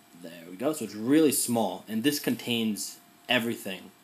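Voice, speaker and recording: Medium pitch and a moderate pace from a man with a plain, everyday voice. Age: 20s. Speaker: journalist. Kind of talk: casual talk to a class. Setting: recorded in his room. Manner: casual with many fillers.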